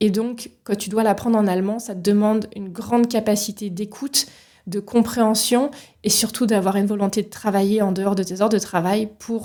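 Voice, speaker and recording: A woman's dark, mellow tone in a flat monotone, on a very clean recording with a silent background. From France, Paris region. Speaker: leadership coach, podcast host. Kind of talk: solo podcast monologue. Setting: solo recording with microphone.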